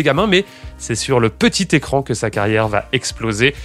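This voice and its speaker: Music in the background behind a man at a moderate pace, his voice making very wide pitch swings. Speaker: podcast host. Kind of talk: podcast interview questions.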